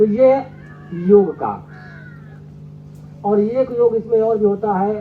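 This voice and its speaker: There is ordinary pitch variation in this man's speech. Noticeable background noise can be heard. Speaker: spiritual speaker, devotee. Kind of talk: religious discourse. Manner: speaks slowly.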